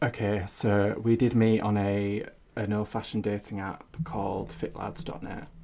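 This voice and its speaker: In a Hull accent, a man talks at a moderate pace with a fairly low pitch and fairly even intonation. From Hull, East Yorkshire. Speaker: freelance writer. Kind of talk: casual chat.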